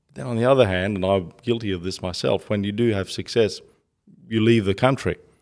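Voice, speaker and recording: This man has an Australian accent and ordinary pitch variation. He talks at a fairly quick pace. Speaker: author and entrepreneur. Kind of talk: interview.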